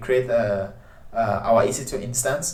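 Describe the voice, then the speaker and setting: Behind a man's speech there is noticeable background noise along with audible room echo. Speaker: tech tutorial presenter. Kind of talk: tutorial. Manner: hesitant, many filler sounds.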